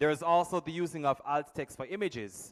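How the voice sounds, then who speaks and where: With a Jamaican accent, a man speaks at a moderate pace in a dry, close sound with no echo, in a very clean recording with a silent background. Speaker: workshop presenter. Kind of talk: workshop talk.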